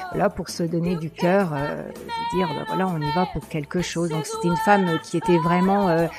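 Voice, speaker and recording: Noticeable background noise accompanies a woman whose fairly low voice keeps a fairly even intonation at a moderate pace. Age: 60s. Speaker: pin-up beauty pageant contestant. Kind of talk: radio interview. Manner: hesitant, many fillers.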